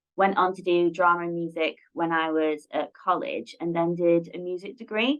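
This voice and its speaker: With a Lancashire accent, a woman speaks at a fairly low pitch with ordinary pitch variation and hardly any pauses. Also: moderate pace. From northern England, Blackpool. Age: 20s. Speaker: production administrator. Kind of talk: interview.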